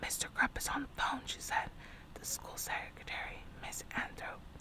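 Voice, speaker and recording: A woman whispers at a moderate pace. Noticeable background noise runs behind her. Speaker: storytime reader / ASMR channel host. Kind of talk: ASMR audiobook reading of a children's novel.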